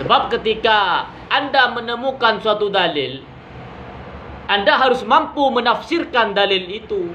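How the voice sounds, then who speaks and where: A man's raised, projected voice, extremely high in pitch, fairly slow, with lively intonation, audible room echo and noticeable background noise. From Madura, Indonesia. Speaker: YouTube commentator. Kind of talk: critical monologue.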